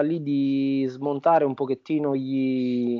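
A man speaks with a Campanian accent. His pace is very slow. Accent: southern Italian (Campanian). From southern Italy, Campania (Avellino province). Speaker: Italian teacher. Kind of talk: interview conversation. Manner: halting, with repetitions and fillers.

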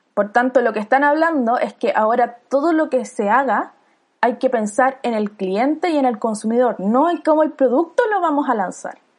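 This woman's high pitch shows ordinary pitch variation as she talks at a moderate pace. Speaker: podcast host, designer. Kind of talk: casual chat.

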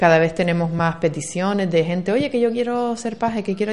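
A woman speaks at a fairly quick pace, her pitch varying in an ordinary way. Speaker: local councillor. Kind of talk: radio interview. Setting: radio studio. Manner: fast.

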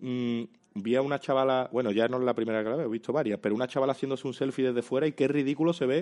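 Against a quiet background, a man talks at a very fast pace. His loudness stays very even, and his intonation is fairly even. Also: medium pitch for a man. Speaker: comedian and YouTuber. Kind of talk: casual chat.

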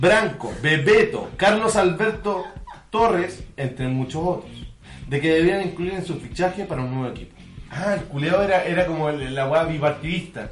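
A man with a Chilean accent talks at a high pitch and a moderate pace. Music plays in the background amid audible room echo. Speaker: podcast co-host. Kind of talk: reading aloud; casual chat.

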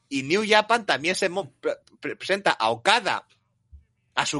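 Music plays in the background as a man speaks with very wide pitch swings, his voice dry and close with no echo. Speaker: wrestling podcast host. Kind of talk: casual chat.

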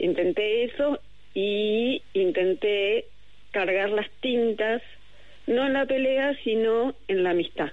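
A woman speaks at a very slow pace with a fairly high pitch, ordinary pitch variation, and very even loudness. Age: 50s. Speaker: novelist. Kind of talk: interview. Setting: remote call.

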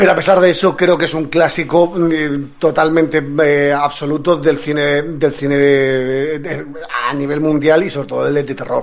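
A fairly high-pitched male voice at a moderate pace, flat and monotone, over noticeable background noise. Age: 40s. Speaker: film podcast panelist. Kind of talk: casual chat.

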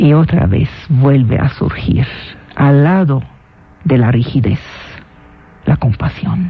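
Delivered very slowly with long, frequent pauses, the speech has lively intonation and very even loudness over noticeable background noise. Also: woman, very deep, low pitch for a woman. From Syria (Damascus). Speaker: radio host and lecturer. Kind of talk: radio lecture.

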